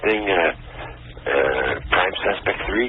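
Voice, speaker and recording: Against noticeable background noise, a man with an American accent speaks in a fairly low pitch. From Orlando, Florida. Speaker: caller. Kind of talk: casual chat. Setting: phone call. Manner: halting.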